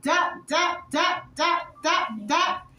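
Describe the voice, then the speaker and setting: A woman speaks in an extremely high, raised, projected voice with ordinary pitch variation. Noticeable background noise and audible room echo fill the recording. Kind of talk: casual show-and-tell vlog. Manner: loud.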